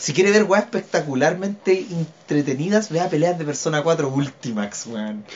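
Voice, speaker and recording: A man with a Chilean accent talks at a moderate pace with hardly any pauses, using a fairly high pitch and lively intonation over noticeable background noise. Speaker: podcast co-host, illustrator. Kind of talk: casual chat.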